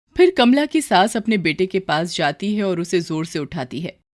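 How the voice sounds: Big pitch swings mark a woman's fairly low voice as she speaks at a moderate pace in a very clean recording with a silent background.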